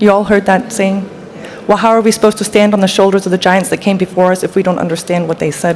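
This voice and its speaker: A woman's medium-pitched voice, very fast and flat in a monotone, over noticeable background noise. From Denmark. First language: Danish. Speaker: panel speaker. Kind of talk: panel discussion.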